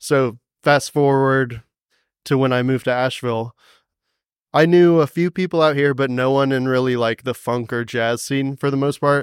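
A man with a plain, everyday voice and an American accent speaks at a moderate pace and medium pitch with fairly even intonation, in a very clean recording with a silent background and a dry, close sound with no echo. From North Carolina, Cary near Raleigh. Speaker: trombonist. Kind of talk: interview.

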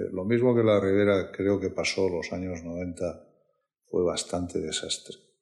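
Very deep and low, this man's voice has fairly even intonation. He speaks at a fairly slow pace. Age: 60s. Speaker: wine company executive. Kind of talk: interview. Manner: halting.

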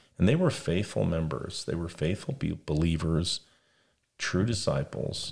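With an American accent, a man speaks fairly slowly in a very deep, low pitch, with vocal fry and lively intonation. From Las Vegas, US West. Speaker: podcast host. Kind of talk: casual religious discussion.

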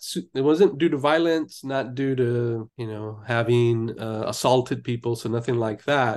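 A man with a Californian accent against a quiet background. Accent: Californian American. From Los Angeles, US. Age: 50s. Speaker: life coach and clinical social worker. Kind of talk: interview.

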